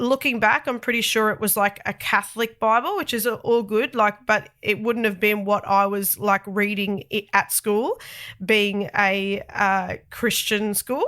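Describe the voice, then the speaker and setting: A woman speaks with an Australian accent at a fairly high pitch, her tone bright and sharp. The pace is fairly slow with hardly any pauses, the intonation fairly even, and the recording very clean against a silent background. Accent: thick Australian. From Australia, Sydney. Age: 30s. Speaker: podcast host. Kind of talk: personal testimony podcast. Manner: casual, chatty.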